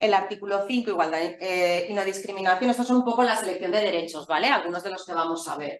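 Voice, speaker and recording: Talking very fast with hardly any pauses, a woman keeps a medium pitch and ordinary pitch variation. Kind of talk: lecture.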